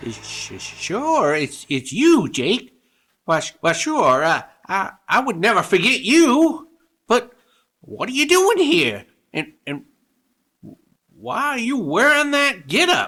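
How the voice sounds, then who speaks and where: A put-on character voice with a fairly high pitch. It moves at a very slow pace, broken by long, frequent pauses. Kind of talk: radio drama. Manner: stammering, fearful.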